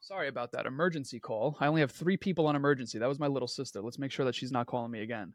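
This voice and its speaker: Against a quiet background, a man with a fairly high pitch talks at a very fast pace with hardly any pauses, in an animated tone with ordinary pitch variation. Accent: New York. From Queens, New York. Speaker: entrepreneur and brand coach. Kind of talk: podcast interview.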